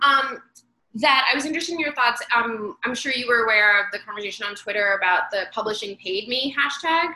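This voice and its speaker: A woman with an American accent and a plain, everyday voice talks at a fairly quick pace, her pitch fairly high and her intonation lively. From United States. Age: 30s. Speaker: bookshop event host. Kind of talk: casual interview chat. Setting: video call.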